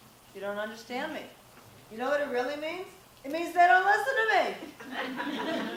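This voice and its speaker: An animated woman's voice amid noticeable background noise and audible room echo. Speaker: parenting coach and guest speaker. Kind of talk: talk to live audience. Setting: stage with audience, no microphone. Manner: loud.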